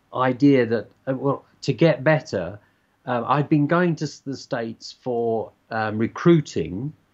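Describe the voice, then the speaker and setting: Against a quiet background, a man with a medium pitch speaks with lively intonation in a southern English accent. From southern England (Surrey / Hertfordshire); southern England. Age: 70s. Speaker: basketball coach. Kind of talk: interview. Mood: reflective storytelling. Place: home room. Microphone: webcam.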